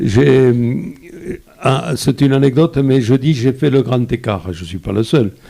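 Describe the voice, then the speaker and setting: This man speaks with a southern French accent at a medium pitch, with ordinary pitch variation. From France, Lozère (rural). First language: Occitan patois (speaking French). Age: 80s+. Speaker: photographer. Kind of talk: interview. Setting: live video broadcast. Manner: halting, many repetitions.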